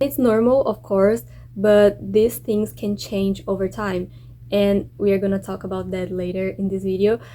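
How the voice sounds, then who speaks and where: With a dark, mellow tone, a woman speaks at medium pitch and fairly even intonation. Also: moderate pace. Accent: Brazilian. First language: Portuguese. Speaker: exchange student vlogger. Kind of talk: casual vlog.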